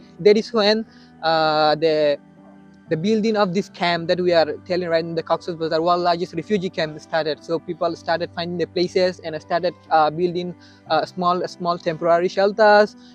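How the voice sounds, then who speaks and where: With music in the background, a man talks in a high pitch at a moderate pace with fairly even intonation. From Rakhine State, Myanmar. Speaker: Rohingya refugee and university student. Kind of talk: interview answer.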